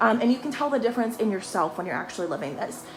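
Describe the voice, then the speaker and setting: Very fast, lively speech amid noticeable background noise. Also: woman. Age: 30s. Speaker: intuitive life coach. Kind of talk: motivational talk. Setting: livestream. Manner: animated.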